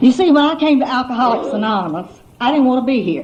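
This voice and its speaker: A woman with a high voice and ordinary pitch variation speaks at a fairly quick pace over noticeable background noise. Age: 70s. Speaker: AA speaker. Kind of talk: testimony.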